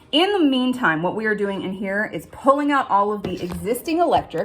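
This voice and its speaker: The speaker goes at a fairly quick pace with hardly any pauses. The intonation is lively, and the voice is somewhat breathy. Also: woman. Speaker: homesteader vlogger. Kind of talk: casual vlog walkthrough. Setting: outdoors and inside a cabin. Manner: fast.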